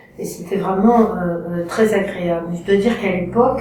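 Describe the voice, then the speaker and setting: At a moderate pace, the talking comes through noticeable background noise and audible room echo. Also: woman. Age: 60s. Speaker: photography course student. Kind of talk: testimonial. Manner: hesitant, many fillers.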